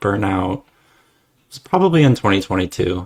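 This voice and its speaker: A man with a Midwestern accent speaks at a fairly low pitch. The sound is dry and close with no echo, on a very clean recording with a silent background. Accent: American Midwestern. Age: 30s. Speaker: former software developer. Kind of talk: interview. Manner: halting, many fillers.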